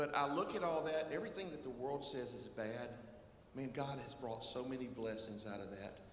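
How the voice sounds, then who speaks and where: Audible room echo and light background noise surround a man's voice. He talks at a moderate pace with ordinary pitch variation. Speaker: worship pastor. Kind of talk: church welcome and announcements. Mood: warm, welcoming. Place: church. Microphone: handheld.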